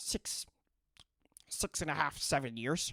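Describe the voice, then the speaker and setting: Someone whispers in a put-on character voice. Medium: actual play. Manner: stammering, nervous.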